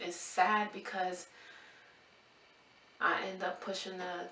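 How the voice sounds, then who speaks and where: Soft-spoken and medium in pitch, a woman talks with fairly even intonation amid noticeable background noise and audible room echo. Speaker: nursing graduate vlogger. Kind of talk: vlog rant.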